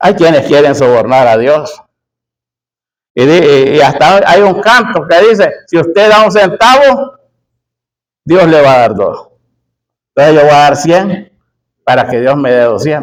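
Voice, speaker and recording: A man at a fairly high pitch, with lively intonation, very even loudness, a fairly slow pace and long, frequent pauses. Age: 60s. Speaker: preacher. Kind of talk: sermon.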